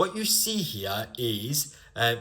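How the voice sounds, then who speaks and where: A man speaks in a northern English accent with a bright, sharp tone. His intonation is lively, and the recording is very clean with a silent background. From northern England, Bolton near Manchester. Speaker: English language teacher. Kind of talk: lecture. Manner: clear, deliberate.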